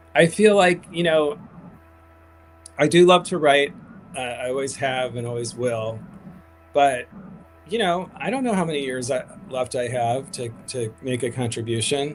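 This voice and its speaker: A man at medium pitch and a moderate pace, with ordinary pitch variation and noticeable background noise. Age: 50s. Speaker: activist, founder of a grassroots advocacy group. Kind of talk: interview on a livestream. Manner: hesitant, many fillers and restarts.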